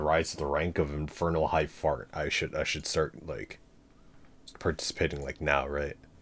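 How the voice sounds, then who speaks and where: Male speech captured on a very clean recording, background silent. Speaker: streamer and lecture series host. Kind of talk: casual livestream chat. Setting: livestream. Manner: rambling, casual, not enunciated.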